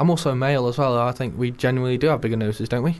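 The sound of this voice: A man speaks at a very fast pace. His pitch is medium, with ordinary variation.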